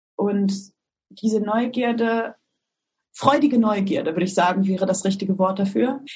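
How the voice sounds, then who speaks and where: A woman speaks at a medium pitch, somewhat breathy, with lively intonation. Her pace is fairly slow, with long, frequent pauses. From Germany, East Westphalia-Lippe (Detmold). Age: 30s. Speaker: startup co-founder. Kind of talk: interview.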